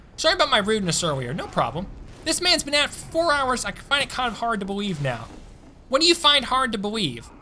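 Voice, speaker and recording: A man with an American accent speaks in a raised, projected voice, bright and sharp in tone, animated, at a fairly quick pace with very wide pitch swings. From Tennessee, US South. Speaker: gaming streamer. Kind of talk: live stream chat. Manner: casual, animated.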